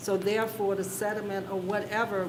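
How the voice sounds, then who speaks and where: Over noticeable background noise and audible room echo, a woman speaks at a medium pitch and moderate pace in a flat monotone. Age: 70s. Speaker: planning commissioner. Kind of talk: public meeting discussion. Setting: county planning commission meeting.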